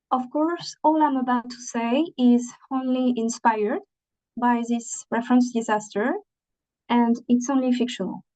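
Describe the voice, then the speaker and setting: A woman with a non-native accent speaks at a high pitch in a dark, mellow tone with fairly even intonation. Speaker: training presenter. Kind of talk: webinar presentation. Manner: halting, many fillers.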